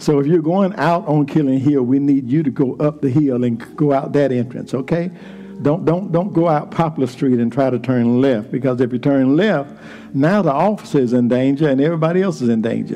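Over noticeable background noise, a man with a fairly high pitch talks in an animated tone at a fairly quick pace, with ordinary pitch variation and very even loudness. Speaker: preacher. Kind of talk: sermon. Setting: church. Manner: animated, call-and-response preaching with repeated phrases; fervent, rhythmic, building to shouts.

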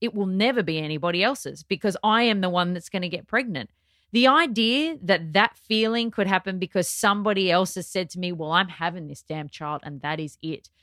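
Speaking in an Australian accent, a woman keeps a fairly quick pace with hardly any pauses, a medium pitch and lively intonation. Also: very clean recording, silent background. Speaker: television personality. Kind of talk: casual chat.

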